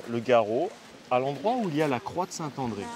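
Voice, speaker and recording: At a moderate pace and medium pitch, a man speaks over noticeable background noise. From Spanish background. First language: Spanish (speaking French). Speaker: donkey trekking guide. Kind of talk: on-location TV interview, explaining. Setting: outdoors at campsite with donkeys and children.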